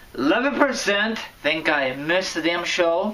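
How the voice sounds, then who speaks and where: Noticeable background noise sits under a fairly slow, animated delivery. The pitch swings very widely. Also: man. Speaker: wrestling commentary vlogger. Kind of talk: casual vlog commentary. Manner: loud at times; animated, stumbling.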